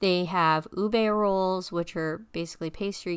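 Delivered at a fairly slow pace, a plain, everyday voice moves with fairly even intonation. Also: woman. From mixed Filipino-American upbringing. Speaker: podcast host. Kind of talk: casual monologue. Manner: casual with frequent fillers (um, uh).

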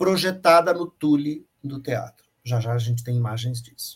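A man speaks here. His pitch variation is ordinary. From São Paulo, East Zone. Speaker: opera director and lighting designer. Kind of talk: interview. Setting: video call from home office.

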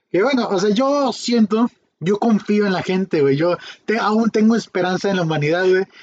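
This speaker has a Mexican accent and talks at a moderate pace. Pitch variation is ordinary, and loudness stays very even. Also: man, high pitch for a man. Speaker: podcast host. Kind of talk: casual chat.

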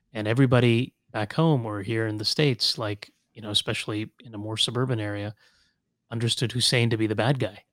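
In a Southern Californian accent, a man at medium pitch speaks at a fairly quick pace with fairly even intonation and big swings in loudness. The recording is very clean with a silent background, its sound dry and close with no echo. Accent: Southern California American. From Kuwait, then Los Angeles. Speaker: civil rights attorney. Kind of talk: casual interview.

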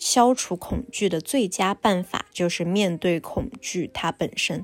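This woman's pitch is fairly low. She speaks at a very slow pace. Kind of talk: casual interview and monologue for learners. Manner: clear, deliberate for learners.

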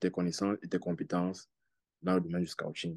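Over a quiet background, a man speaks in a very deep, low pitch with a dark, mellow tone and monotone, flat intonation, the sound dry and close with no echo. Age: 20s. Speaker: football scout and law student. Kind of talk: podcast interview.

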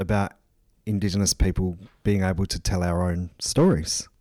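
A man with an Australian accent and a dark, mellow tone at a fairly slow pace, in a very clean recording with a silent background. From South Australia, Port Augusta. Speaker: museum research fellow and author. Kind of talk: interview. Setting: museum. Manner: frequent fillers and repetitions.

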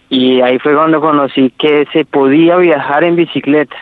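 A man's fairly high voice, a plain, everyday voice, with fairly even intonation. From Colombia, Ibagué (Tolima). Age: 20s. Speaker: cycle tourist. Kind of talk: interview. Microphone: connection dropping out.

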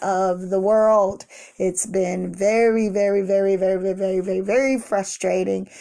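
A woman with a medium pitch and a dark, mellow tone speaks in a monotone, flat intonation against a quiet background. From Washington, D.C. (inner city). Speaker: pastor, motivational podcaster. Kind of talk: motivational monologue.

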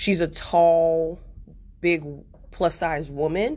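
A woman's very deep, low voice, very slow in pace and fairly even in intonation. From United States. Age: 20s. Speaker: podcast host. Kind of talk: casual monologue. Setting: office. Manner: quieter than usual, keeping voice down.

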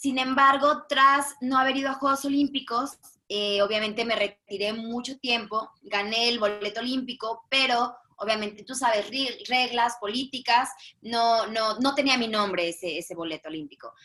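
Bright and sharp in tone, a woman's fairly high voice moves with ordinary pitch variation. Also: moderate pace. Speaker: high diver. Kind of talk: casual interview.

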